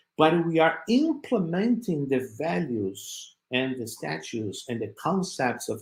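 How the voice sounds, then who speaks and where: Somewhat breathy and fairly high, a man's voice moves through very wide pitch swings. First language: not English. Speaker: spiritist speaker. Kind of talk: talk with slides. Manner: halting.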